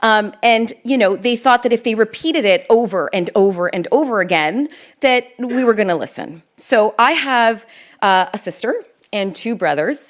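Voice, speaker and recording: In a very clean recording with a silent background, a woman with an unremarkable speaking voice talks at a moderate pace, fairly high in pitch with lively intonation. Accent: Canadian. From Canada, Toronto. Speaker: lawyer and public speaker. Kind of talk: keynote talk. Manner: conversational.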